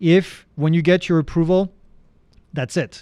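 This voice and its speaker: Against a quiet background, a man with a French accent talks at a moderate pace in a dark, mellow tone. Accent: French accent, often taken for Canadian. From France. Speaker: drone instructor and live Q&A host. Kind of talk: live Q&A answering viewer questions. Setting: livestream. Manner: casual, conversational.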